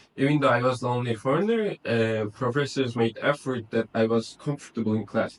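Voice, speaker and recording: A man with a medium-pitched voice and a non-native accent talks at a fairly quick pace, his loudness very even and his intonation fairly level. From Kazakhstan. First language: not English. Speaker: university student. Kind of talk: interview. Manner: halting, many fillers.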